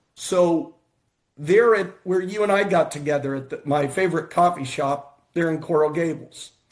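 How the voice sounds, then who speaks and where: In an American accent, an unremarkable speaking voice moves at a moderate pace with fairly even intonation against a quiet background. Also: man. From United States. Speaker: futurist and investment fund manager. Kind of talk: casual show conversation.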